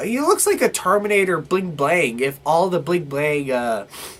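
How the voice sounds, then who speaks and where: There is noticeable background noise as a man talks at a moderate pace with a high pitch. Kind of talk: casual movie review to camera.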